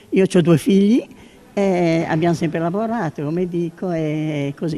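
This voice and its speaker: A woman's dark, mellow, fairly low voice at a moderate pace. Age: 80s+. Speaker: parish volunteer. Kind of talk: interview. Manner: halting.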